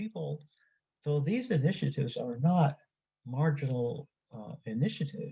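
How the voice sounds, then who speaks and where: This man has a fairly high pitch and a dark, mellow tone that is somewhat breathy. His intonation is lively. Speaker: activist and author presenting at a conference. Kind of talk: conference presentation.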